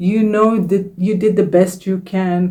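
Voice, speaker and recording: A woman with a non-native accent speaks at a fairly slow pace, her medium-pitched voice dark and mellow in tone. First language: not English. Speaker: self-help YouTuber and author. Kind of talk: casual vlog talk to camera. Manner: warm, encouraging.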